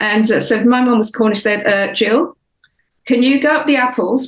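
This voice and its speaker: Her voice is somewhat breathy, and this woman's pitch varies in an ordinary way. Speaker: author. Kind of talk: interview. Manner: halting, many fillers.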